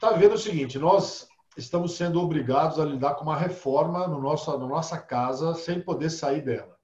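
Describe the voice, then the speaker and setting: In a normal speaking voice, a man with a fairly high pitch talks at a fairly quick pace with ordinary pitch variation and hardly any pauses. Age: 50s. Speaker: holistic therapist. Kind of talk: casual interview.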